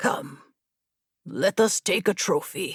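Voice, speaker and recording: The put-on character voice is raspy, and the sound is dry and close with no echo. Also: woman. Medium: read story.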